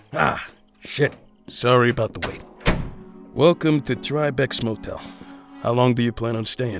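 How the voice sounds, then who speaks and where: Using a gruff, put-on character voice, a man speaks at a medium pitch and a moderate pace. Long, frequent pauses break his speech, with faint music in the background. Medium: audio drama. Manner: gruff, curt.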